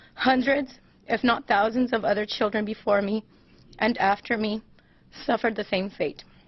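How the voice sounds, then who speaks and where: A woman with an American accent speaks at a moderate pace, fairly high in pitch and somewhat breathy. Her intonation is fairly even, with long, frequent pauses. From US West Coast, Los Angeles. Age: 30s. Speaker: abuse survivor. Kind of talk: prepared statement at press conference. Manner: formal.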